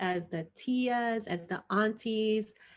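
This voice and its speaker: With ordinary pitch variation, a woman talks at a medium pitch over a quiet background. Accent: Spanish. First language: Spanish. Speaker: HIV prevention trainer. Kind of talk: online training presentation.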